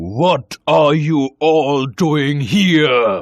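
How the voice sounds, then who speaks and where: Pitched fairly high, a man talks in a put-on character voice. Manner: angry, shouting.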